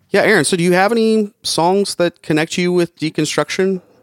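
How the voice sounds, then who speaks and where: A man's voice is heard with a dry, close sound and no echo. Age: 40s. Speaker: podcast host. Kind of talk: casual chat.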